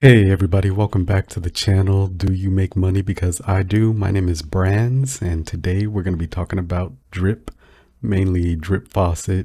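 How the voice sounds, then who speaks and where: Over a very clean recording with a silent background, a man with a very deep, low pitch speaks at a moderate pace in a dark, mellow, relaxed and somewhat breathy tone. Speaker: crypto YouTuber. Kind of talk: casual chat. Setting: home recording, no fan. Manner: halting.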